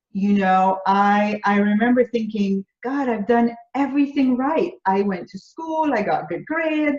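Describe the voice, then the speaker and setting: A woman's fairly high, somewhat breathy voice with lively intonation, a fairly slow pace and hardly any pauses. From Jamaica. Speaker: business coach. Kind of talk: interview. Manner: halting.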